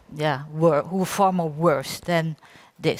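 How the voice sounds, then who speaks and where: A woman speaks with a Dutch accent in a dry, close sound with no echo. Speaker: applied science researcher. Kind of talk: conference talk. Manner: halting.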